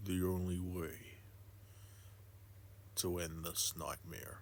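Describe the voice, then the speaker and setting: Amid clear background noise, a man puts on a character voice at a very deep, low pitch and speaks very slowly. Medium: solo performance. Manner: determined.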